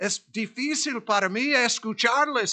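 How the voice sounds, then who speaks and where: A man with an English accent speaks in a raised, projected voice at a very slow pace, his pitch high and his tone bright and sharp. The background is quiet. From US South. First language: English (speaking Spanish). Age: 70s. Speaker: pastor. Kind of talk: sermon.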